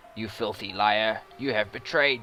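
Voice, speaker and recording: Spoken at a moderate pace in a put-on character voice, the clip has fairly even intonation over clear background noise. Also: man. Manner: groaning, accusing, angry.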